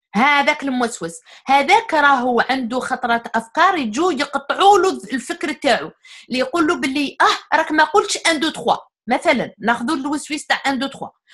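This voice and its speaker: A woman with a strong Algerian accent speaks in a high voice at a fairly quick pace with lively intonation. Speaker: guest speaker on psychology. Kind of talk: casual interview discussion.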